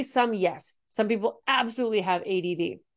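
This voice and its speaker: This woman has a plain, everyday voice, medium in pitch, with lively intonation. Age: 40s. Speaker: high performance coach and podcast host. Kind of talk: solo podcast monologue.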